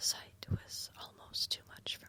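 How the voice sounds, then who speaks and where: Noticeable background noise surrounds a woman who whispers at a fairly slow pace. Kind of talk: literary narration, slow whispered story reading. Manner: whispered, soft, calming.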